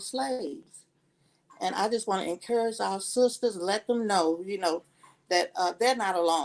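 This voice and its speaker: This woman has a medium pitch with ordinary pitch variation. She speaks at a fairly slow pace. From Alabama, US South. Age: 60s. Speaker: retired nurse's assistant speaking on a show. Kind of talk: personal testimony on a live stream. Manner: halting, many fillers.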